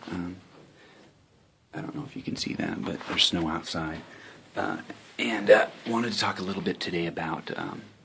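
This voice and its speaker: Over noticeable background noise, a soft-spoken man with a very deep, low pitch talks at a fairly quick pace, with very wide pitch swings and long, frequent pauses. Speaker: online marketing vlogger. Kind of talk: casual vlog talk. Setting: home office. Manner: halting, many fillers.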